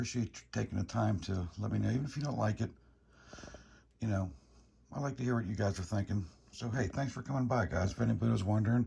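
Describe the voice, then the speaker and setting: A man whispers at a very fast pace with vocal fry. Long pauses come often. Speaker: motorcycle vlogger. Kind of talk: casual vlog walkthrough. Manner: whispering; halting.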